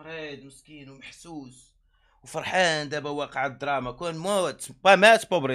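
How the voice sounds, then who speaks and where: The setting is quiet around this male speaker. He keeps a moderate pace and his intonation is lively. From Morocco. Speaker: streamer. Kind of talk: angry rant. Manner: heated; repetitive. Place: home room. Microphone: studio mic.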